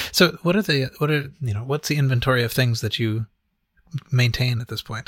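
A man's somewhat breathy voice at a medium pitch and fairly quick pace, dry and close with no echo. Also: ordinary pitch variation. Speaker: podcast host. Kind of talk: casual chat. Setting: online chat on Discord.

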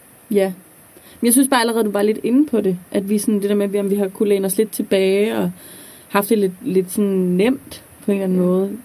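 A woman with a medium-pitched voice talks at a fairly quick pace with fairly even intonation, an unremarkable speaking voice. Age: 20s. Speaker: student teacher. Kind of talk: casual chat.

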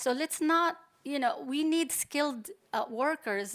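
With ordinary pitch variation, a woman delivers her words at a fairly slow pace. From Palestine. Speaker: computer science professor. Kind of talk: panel discussion.

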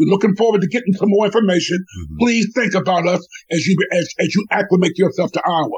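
A man at a very fast pace with an American accent, high pitch, and ordinary pitch variation. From Washington, DC. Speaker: former state legislator and community organizer. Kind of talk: radio interview.

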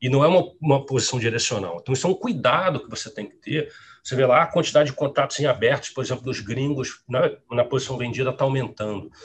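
A man races along at a very fast pace with hardly any pauses, his medium pitch carrying ordinary variation. His voice is somewhat breathy and shows big swings in loudness. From Rio Grande do Sul, raised in Rio de Janeiro from age 10. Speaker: quantitative trader. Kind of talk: interview. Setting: live stream.

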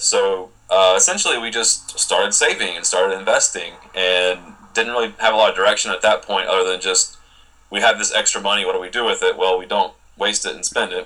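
A man's very fast speech with an American accent amid noticeable background noise. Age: 30s. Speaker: early retiree blogger. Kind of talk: interview. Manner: halting, many repeated words.

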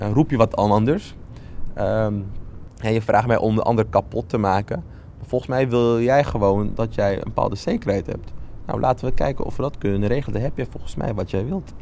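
Here a man speaks at a medium pitch with a dark, mellow tone. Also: ordinary pitch variation, fairly quick pace. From Netherlands, Amsterdam Zuidoost. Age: 20s. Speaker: lawyer and local politician. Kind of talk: interview. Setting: on location in community building.

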